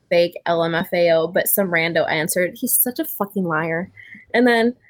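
In an American accent, a woman with an unremarkable speaking voice talks at a medium pitch and moderate pace, her pitch varying in an ordinary way. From Montana. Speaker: video chat guest. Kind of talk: casual chat. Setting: video call.

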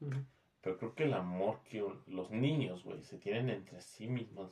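Here a man speaks with a Mexican accent at a fairly slow pace. His voice has a fairly low pitch and a dark, mellow tone. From Mexico. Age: 20s. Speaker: podcast guest. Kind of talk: casual chat.

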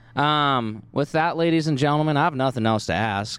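A normal speaking voice with an American accent, ordinary pitch variation and a fairly quick pace. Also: man. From Oregon. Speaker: podcast co-host. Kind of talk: casual chat. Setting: outdoors at a coffee shop courtyard.

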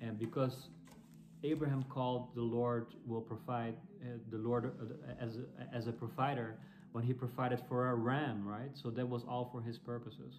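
There is noticeable background noise as a man speaks with a Dutch accent. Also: medium pitch for a man, moderate pace. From Netherlands. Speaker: church planter and preacher. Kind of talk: sermon or Bible teaching. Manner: halting, with frequent fillers and repeats.

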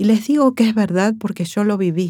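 A woman with a dark, mellow tone speaks using ordinary pitch variation. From Argentina, Córdoba (Villa María). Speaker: nurse and war veteran. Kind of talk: testimony.

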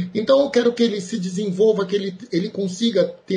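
Noticeable background noise sits beneath speech delivered at a moderate rate. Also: man. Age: 40s. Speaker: math teacher. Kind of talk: interview.

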